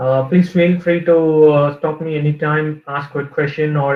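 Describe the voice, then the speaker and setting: A man talks in a somewhat breathy voice with monotone, flat intonation. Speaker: reliability engineer. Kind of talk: lecture. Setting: video call. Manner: halting, many fillers.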